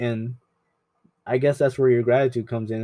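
A dark, mellow tone, delivered soft-spoken. The intonation stays fairly even. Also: man. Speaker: podcast host, photographer. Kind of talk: casual solo monologue. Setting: home apartment. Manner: soft-spoken, mellow; halting, searching for words.

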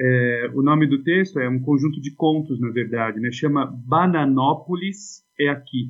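With hardly any pauses, a man uses an ordinary speaking voice at a fairly high pitch. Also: ordinary pitch variation, fairly slow pace. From Brazil, Suzano (São Paulo state). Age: 40s. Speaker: philosophy teacher. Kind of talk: casual chat.

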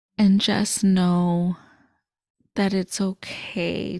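The voice is somewhat breathy and monotone, with flat intonation. The recording is dry and close with no echo, very clean against a silent background. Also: woman. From Chicago suburbs, US Midwest. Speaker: podcast host. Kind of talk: solo podcast monologue.

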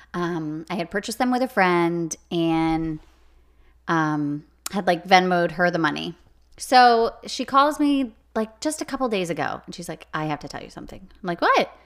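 A woman with a fairly low pitch and an unremarkable speaking voice talks at a moderate pace with lively intonation and big swings in loudness, on a very clean recording with a silent background. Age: 30s. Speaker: podcast co-host. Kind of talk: casual chat.

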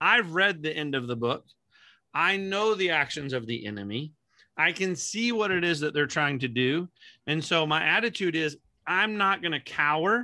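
On a very clean recording with a silent background, a man speaks at a moderate pace in a fairly high pitch, with a bright, sharp tone and lively intonation. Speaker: ministry director and podcast host. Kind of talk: casual chat.

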